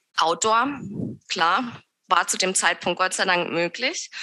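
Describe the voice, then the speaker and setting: A woman speaks at a medium pitch with lively intonation. Her tone is bright and sharp. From southern Germany near Swiss border (Lörrach, Baden). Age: 30s. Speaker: yoga teacher and studio owner. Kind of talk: interview conversation. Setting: video call.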